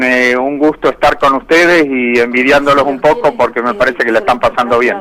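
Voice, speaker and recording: In a plain, everyday voice, a man talks at a moderate pace with hardly any pauses, fairly high pitch and ordinary pitch variation. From Argentina, inland (Buenos Aires, Córdoba, Santa Fe provinces). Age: 60s. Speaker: cheese industry manager, agronomist. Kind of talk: interview.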